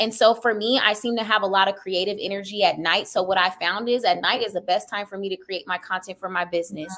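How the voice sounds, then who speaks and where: Through noticeable background noise, a woman talks at a medium pitch and a very fast pace, with fairly even intonation and hardly any pauses. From California. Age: 20s. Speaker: entrepreneur. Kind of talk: interview.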